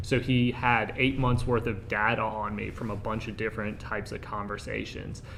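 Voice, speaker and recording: With hardly any pauses, a man talks at a moderate pace and medium pitch in a monotone, flat delivery, with audible room echo. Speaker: air force intelligence officer. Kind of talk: panel discussion. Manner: loud.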